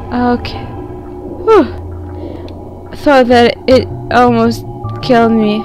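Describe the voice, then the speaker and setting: A woman speaks at a very slow pace, with long, frequent pauses. Music plays in the background. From Russia. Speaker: gaming video creator. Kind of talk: let's play commentary.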